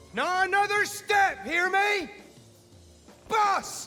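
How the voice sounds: Over faint background music, a man does a put-on character voice at an extremely high pitch, with a bright, sharp tone and a slow pace. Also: ordinary pitch variation.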